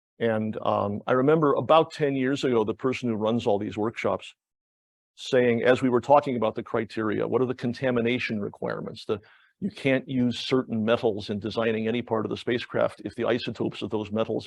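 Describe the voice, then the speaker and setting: Vocal fry from a man at a very fast pace, medium in pitch, with fairly even intonation. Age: 60s. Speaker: planetary geologist, professor. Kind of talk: public lecture. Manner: halting, many repetitions.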